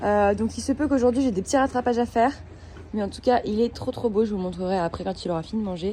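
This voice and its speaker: Amid noticeable background noise, a woman talks very fast in a fairly high voice with ordinary pitch variation. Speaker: equestrian vlogger. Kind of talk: casual vlog chat. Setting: stables. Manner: hesitant, many fillers.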